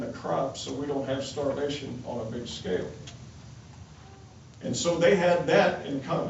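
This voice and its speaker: Male speech in an American accent amid noticeable background noise and audible room echo. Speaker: congressman. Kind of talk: town hall speech. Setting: town hall meeting with audience.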